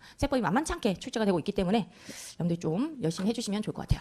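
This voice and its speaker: A woman's voice with very wide pitch swings. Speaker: tax law lecturer, accountant. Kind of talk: lecture. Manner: fast.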